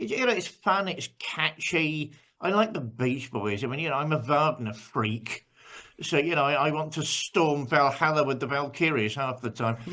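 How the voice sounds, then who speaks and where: Bright and sharp in tone, a man with an English accent speaks at a moderate pace with lively intonation. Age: 60s. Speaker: pastor. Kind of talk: casual chat. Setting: video call.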